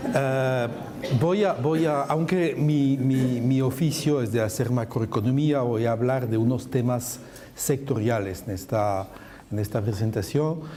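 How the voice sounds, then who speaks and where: In a space with audible room echo, a man speaks fairly slowly at medium pitch with ordinary pitch variation. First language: French (speaking Spanish). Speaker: macroeconomist panelist. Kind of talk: conference presentation.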